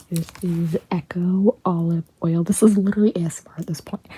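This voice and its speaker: Whispering quietly, a woman speaks at a fairly slow pace. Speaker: YouTuber. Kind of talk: unboxing haul vlog. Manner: animated.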